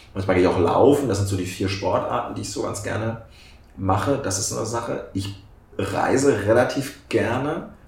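There is audible room echo. A man speaks at a moderate pace with ordinary pitch variation. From southern Lower Saxony, Germany. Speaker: member of parliament. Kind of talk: casual interview.

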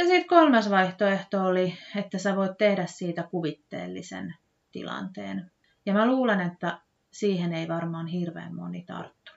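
Big swings in loudness mark a woman speaking at a fairly slow pace. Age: 30s. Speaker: podcast host, former childcare worker. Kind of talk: solo podcast monologue. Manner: hesitant, many fillers.

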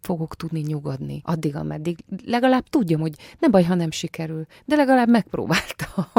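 At a fairly quick pace, a woman speaks in a dark, mellow tone. The sound is dry and close with no echo, on a very clean recording with a silent background. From Transylvania, Romania. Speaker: actress. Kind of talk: radio interview. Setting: studio.

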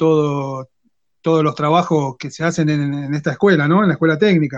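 A man with an Argentine accent speaks at a moderate pace and a fairly high pitch. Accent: Rioplatense Argentine Spanish. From Argentina, Quilmes (Greater Buenos Aires). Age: 30s. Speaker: technical school teacher and woodworker. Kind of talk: casual interview chat.

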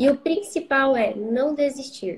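A woman speaks in a high pitch. Her pace is very slow. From Brazil, São Paulo interior (Marília). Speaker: psychologist. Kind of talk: interview.

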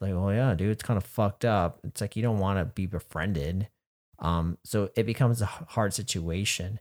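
Against a silent background in a very clean recording, a man with an ordinary speaking voice talks rather low, his pitch shifting normally. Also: moderate pace. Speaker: podcast co-host. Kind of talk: casual chat.

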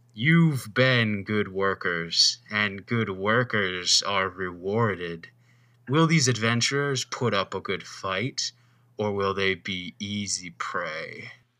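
A booming put-on character voice from a man, fairly low in pitch and very slow in pace. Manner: gloating, theatrical.

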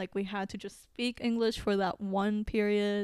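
Very slowly and in a monotone, flat intonation, a woman with a Filipino accent speaks at a medium pitch on a very clean recording with a silent background. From Philippines, moved to New Zealand at ten. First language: Tagalog. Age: 20s. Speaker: podcast co-host. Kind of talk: casual chat.

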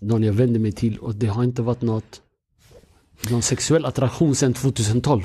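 At a fairly quick pace, a man talks in a dark, mellow, somewhat breathy voice of medium pitch with fairly even intonation. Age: 30s. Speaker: podcast host. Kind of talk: casual chat.

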